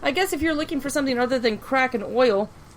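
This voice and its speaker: Delivered at a very fast pace, the speech has lively intonation over noticeable background noise. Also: woman. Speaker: podcast host. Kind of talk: heated rant. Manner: animated, angry.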